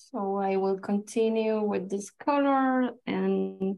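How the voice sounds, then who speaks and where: Speaking at a very slow pace with a Chilean accent, the voice has a dark, mellow tone and fairly even intonation. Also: woman. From Chile, Santiago. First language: Spanish. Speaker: watercolor artist and illustrator; guest. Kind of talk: live painting demonstration. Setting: video call. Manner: halting, many fillers. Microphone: video call.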